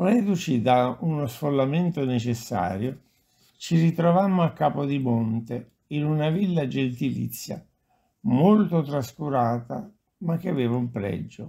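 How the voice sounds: A man of medium pitch with a dark, mellow tone and vocal fry talks at a fairly slow pace with lively intonation.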